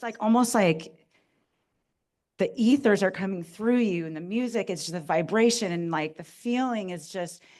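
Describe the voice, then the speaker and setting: Against a quiet background, a woman speaks at a moderate pace in a medium pitch with a normal speaking voice. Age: 40s. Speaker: audience member. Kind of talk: audience question. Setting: cinema with audience.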